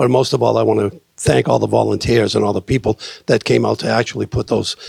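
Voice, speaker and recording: A man with a Boston accent in a dry, close sound with no echo. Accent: Boston-area New England. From Salem, Massachusetts. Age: 60s. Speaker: city council candidate, retired police officer. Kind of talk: candidate forum speech.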